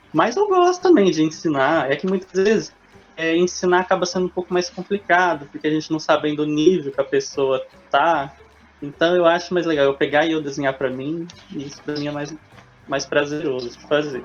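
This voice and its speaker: With a plain, everyday voice, a man talks at a fairly quick pace and fairly high pitch, his intonation fairly even but with big swings in loudness. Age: 20s. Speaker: teacher and illustrator. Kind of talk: interview.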